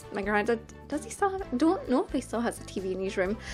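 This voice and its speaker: Music plays behind a woman whose high voice has a relaxed tone and a Scottish accent. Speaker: gaming YouTuber. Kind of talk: casual game commentary. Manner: chatty, relaxed.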